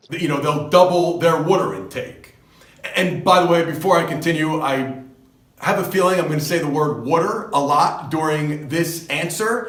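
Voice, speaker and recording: With a New Jersey accent, a man talks at a moderate pace with a high pitch and ordinary pitch variation, amid audible room echo and noticeable background noise. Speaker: fitness coach. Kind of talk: advice monologue. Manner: casual, conversational.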